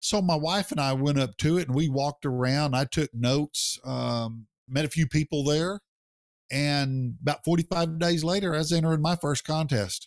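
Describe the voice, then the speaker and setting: This is a normal speaking voice, a man with an American accent at a fairly high pitch and ordinary pitch variation, moving at a moderate pace. The loudness is very even, the sound dry and close with no echo, and the recording very clean with a silent background. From United States. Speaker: barbecue pitmaster and business founder. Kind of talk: casual interview.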